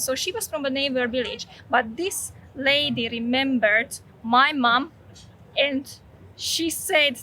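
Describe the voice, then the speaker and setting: Speaking in a Slovak accent, a woman uses a high pitch with ordinary pitch variation. Her tone is bright and sharp, and her voice is raised and projected. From Slovakia. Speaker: vlogger. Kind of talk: personal testimony.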